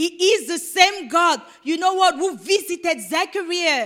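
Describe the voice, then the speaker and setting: In a raised, projected voice, a woman speaks with an animated tone, a bright, sharp quality and an extremely high pitch, keeping a fairly slow pace and ordinary pitch variation. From Cameroon. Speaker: preacher. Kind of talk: sermon.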